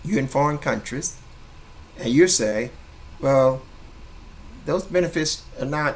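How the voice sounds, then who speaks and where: A man's fairly high-pitched voice with lively intonation. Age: 60s. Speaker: network marketing promoter. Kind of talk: impromptu sales pitch monologue. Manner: animated, preachy; repetitive, halting.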